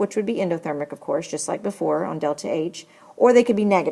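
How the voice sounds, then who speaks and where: In a normal speaking voice, a woman talks at a fairly quick pace with ordinary pitch variation. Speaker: chemistry teacher. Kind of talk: lecture. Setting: screencast recording.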